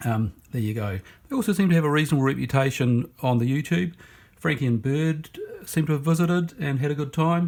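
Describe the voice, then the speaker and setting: A man with a New Zealand accent, fairly high pitch, ordinary pitch variation and a fairly quick pace, in a very clean recording with a silent background. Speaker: knife reviewer. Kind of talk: casual product review. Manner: halting, many fillers.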